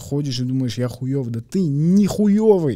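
Dark, mellow tone at a moderate pace over a quiet background. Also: man. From Kazakhstan. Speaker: comedian; podcast guest. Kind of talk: casual chat. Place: studio. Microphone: studio mic.

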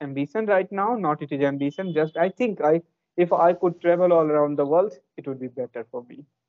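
A man with an Indian accent speaks at a moderate pace and a fairly high pitch. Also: quiet background. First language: an Indian language. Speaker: English learner and youtuber; youtuber. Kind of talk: casual chat. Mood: relaxed, smiling. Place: home room. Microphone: earbuds.

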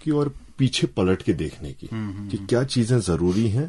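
Very slowly, a man delivers his words. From Uttarakhand, Kumaon (Bageshwar, Lohaghat); Uttarakhand. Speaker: journalist. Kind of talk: radio interview. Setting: radio studio. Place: studio.

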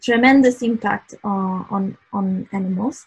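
A woman talks with a fairly high pitch and ordinary pitch variation. Her voice is somewhat breathy. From Italy. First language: Italian. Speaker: art director and creative technologist. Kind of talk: online presentation. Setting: video call with screen share. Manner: halting, many fillers and restarts. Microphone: video call.

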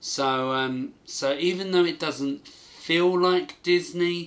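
A man speaks with a British accent. His delivery is very slow. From UK. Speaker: gaming YouTuber. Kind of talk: video commentary. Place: home room.

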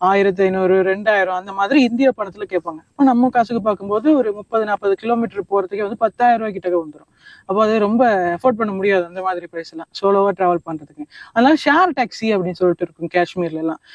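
The sound is dry and close with no echo as a man speaks at a high pitch. His pitch variation is ordinary, but his loudness swings widely. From Sri Lanka, Badulla district hill country. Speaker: travel vlogger. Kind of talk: interview.

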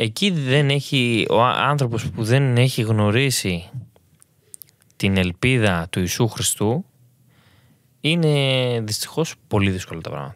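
A medium-pitched man with lively intonation, a very slow pace and long, frequent pauses. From Greece. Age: young. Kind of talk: testimony.

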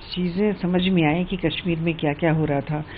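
Over light background noise, a woman with a fairly low pitch talks at a fairly slow pace. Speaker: actress promoting a film. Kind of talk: interview answer. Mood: warm, reflective, a bit nostalgic. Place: office. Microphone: handheld.

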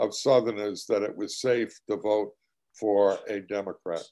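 The background stays quiet while a man talks. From United States. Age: old. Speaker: socialist presidential candidate; candidate. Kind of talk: political commentary. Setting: online webinar. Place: home room. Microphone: video call.

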